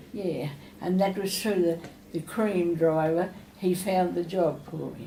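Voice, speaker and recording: With an Australian accent, a woman speaks at a fairly slow pace in a fairly low pitch with fairly even intonation, over noticeable background noise. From Australia, New South Wales. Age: 80s+. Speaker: retirement village resident. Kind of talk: interview answer.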